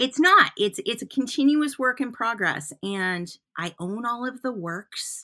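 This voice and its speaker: Animated and enthusiastic, a woman with a Michigan accent, high pitch and a bright, sharp tone makes very wide pitch swings at a fairly slow pace on a very clean recording with a silent background. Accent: Michigan American. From US Midwest, Flint, Michigan. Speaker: artist and art teacher. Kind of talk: casual interview conversation. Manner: animated, enthusiastic.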